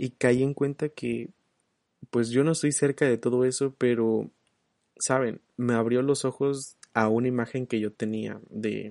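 A soft-spoken man talks at a fairly slow pace in a dark, mellow tone. The sound is dry and close, with no echo. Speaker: solo podcast host. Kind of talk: casual monologue.

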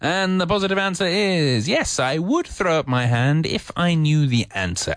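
Speaking at a moderate pace with a British accent, a man with a fairly high voice swings his pitch very widely against a quiet background. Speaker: English teacher, radio host. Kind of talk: educational radio lesson. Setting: studio. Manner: hesitant, with many fillers; friendly, humorous.

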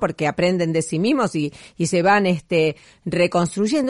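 At a moderate pace, a woman with an ordinary speaking voice talks at medium pitch with ordinary pitch variation, the sound dry and close with no echo. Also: quiet background. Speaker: radio host. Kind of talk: radio show narration, year-end review.

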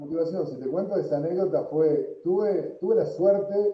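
A man's high-pitched voice carries lively intonation while he talks at a fairly slow pace. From Argentina, Tucumán. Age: 40s. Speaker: entrepreneur. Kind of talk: interview.

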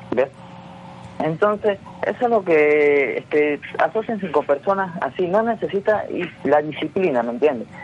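Over noticeable background noise, a man with a high pitch speaks at a fairly slow pace with lively intonation. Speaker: entrepreneur. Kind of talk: radio interview.

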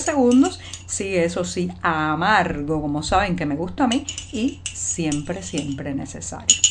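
A woman speaks with vocal fry. Audible room echo surrounds her voice. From Cuba. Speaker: journalist hosting a daily news show. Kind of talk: daily news commentary. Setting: home by a window.

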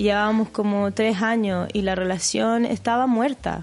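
A woman with a Chilean accent speaks at a fairly slow pace. Her pitch is medium, and the background is quiet. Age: 30s. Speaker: podcast co-host. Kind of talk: casual chat.

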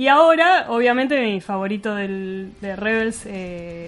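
A woman in a Rioplatense accent, with ordinary pitch variation. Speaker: radio host. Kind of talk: radio show interview and chat. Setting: radio studio.

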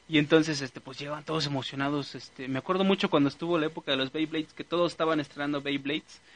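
Fairly high for a man, this voice races at a very fast pace with hardly any pauses and fairly even intonation. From central Mexico (State of Mexico). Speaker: radio show host. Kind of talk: casual chat. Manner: halting, many fillers.

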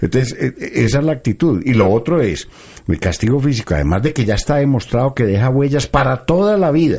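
At a fairly quick pace, a man speaks at a medium pitch that makes very wide swings. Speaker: pediatrician radio host. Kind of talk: live radio health talk.

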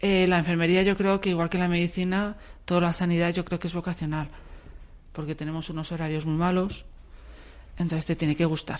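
A woman speaks at a fairly quick pace with long, frequent pauses. Her fairly low voice stays monotone and flat against a quiet background. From Valencia, Spain. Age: 40s. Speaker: nurse. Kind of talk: radio interview.

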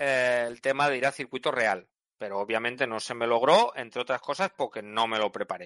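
Against a quiet background, a man's bright, sharp tone comes through with a dry, close sound and no echo. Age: 40s. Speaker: track day organizer. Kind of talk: interview. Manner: halting.

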